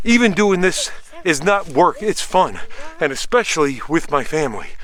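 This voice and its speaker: Over noticeable background noise, a man talks at a high pitch with lively intonation. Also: moderate pace. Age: 60s. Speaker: outdoor how-to video maker. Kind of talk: outdoor tutorial. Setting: outdoors in the woods. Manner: casual.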